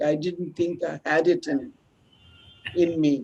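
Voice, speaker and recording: This woman speaks very slowly in a fairly low voice, her intonation lively. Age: 80s+. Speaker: textile expert. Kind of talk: talk Q&A closing remarks.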